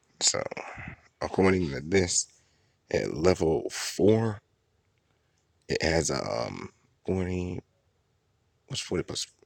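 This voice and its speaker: A man talks quietly at a very slow pace with a very deep, low pitch. The sound is dry and close with no echo, and there are long, frequent pauses. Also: ordinary pitch variation. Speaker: gaming video creator. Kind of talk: game commentary. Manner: quiet, low voice.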